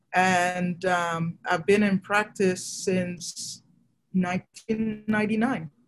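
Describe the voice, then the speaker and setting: At a very slow pace, a woman speaks with medium pitch and fairly even intonation, sounding somewhat breathy. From Nigeria. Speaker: fertility doctor. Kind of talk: interview.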